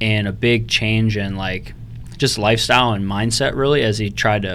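A man talks at a moderate pace with a fairly low pitch. He has an unremarkable speaking voice. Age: 20s. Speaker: real estate investor. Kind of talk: interview. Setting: studio.

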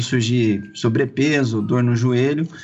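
The speaker talks at a fairly slow pace with ordinary pitch variation over noticeable background noise. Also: man. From Campinas, São Paulo state, Brazil. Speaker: cycling event organizer. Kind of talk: casual interview.

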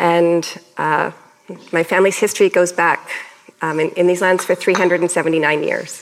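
This woman has a Canadian accent and a fairly low pitch. Her intonation is monotone and flat, broken by long, frequent pauses. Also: fairly slow pace. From Canada. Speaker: professor. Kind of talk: public panel conversation. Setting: stage with audience.

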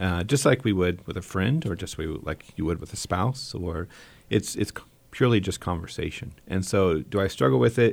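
Vocal fry runs through this fairly quick speech, captured on a very clean recording with a silent background. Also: man, very deep, low pitch for a man, lively intonation. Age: 40s. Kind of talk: casual interview chat. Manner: hesitant, many fillers.

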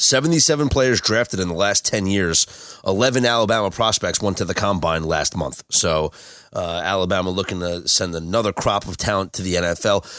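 A man with a plain, everyday voice speaks at a fairly low pitch with ordinary pitch variation. He goes fairly quickly with hardly any pauses. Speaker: podcast host. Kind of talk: podcast hosting, sports talk.

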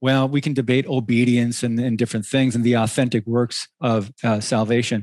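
Against a quiet background, a man speaks at a moderate pace with hardly any pauses, a medium pitch, monotone, flat intonation and very even loudness, in a dry, close sound with no echo. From Michigan. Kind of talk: casual interview. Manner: halting, repetitive starts.

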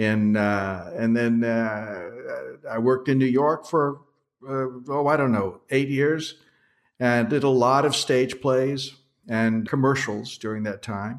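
A man with an American accent, medium pitch and very slow pace. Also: ordinary pitch variation. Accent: general American, Southern accent trained out. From US South. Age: 70s. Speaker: actor and acting coach. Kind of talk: interview conversation.

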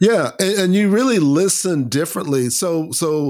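Moderate pace, ordinary pitch variation and a normal speaking voice from a man. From US South, Lakeland, Florida. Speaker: bass player and author. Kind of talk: interview conversation.

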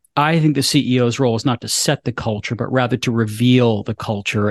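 At a fairly quick pace, a man talks in an ordinary speaking voice with fairly even intonation. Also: hardly any pauses. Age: 50s. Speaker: wealth management firm CEO. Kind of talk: interview.

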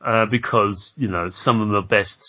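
Speaking at a moderate pace, this man has a fairly low-pitched voice. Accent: British. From Britain. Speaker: podcast host interviewing game developers. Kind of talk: casual interview.

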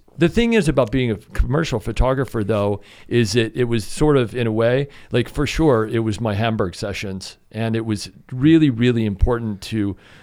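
A man with an American accent and a plain, everyday voice speaks at a moderate pace and medium pitch with ordinary pitch variation, on a very clean recording with a silent background. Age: 50s. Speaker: climber and photographer. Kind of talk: casual chat. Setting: studio.

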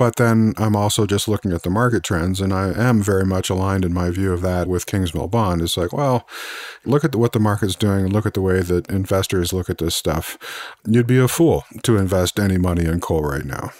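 A man with an American accent talks at a fairly quick pace in a very deep, low pitch with ordinary pitch variation, the sound dry and close with no echo. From Missouri, US. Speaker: podcast host, energy analyst. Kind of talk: interview conversation.

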